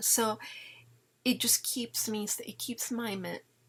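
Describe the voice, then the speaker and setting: A woman is speaking. She is whispering. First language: Italian. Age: 50s. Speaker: parenting vlogger. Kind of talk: casual chat.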